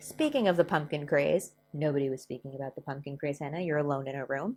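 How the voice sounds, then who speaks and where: Captured in a very clean recording with a silent background, a woman speaks with an American accent and ordinary pitch variation. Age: 30s. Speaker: history and crafts YouTuber. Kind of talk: casual educational vlog with story reading.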